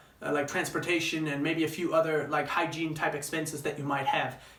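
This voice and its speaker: The speech moves at a fairly quick pace. Room echo is audible, and background noise is noticeable. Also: man. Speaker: travel vlogger. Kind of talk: casual vlog monologue. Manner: fast.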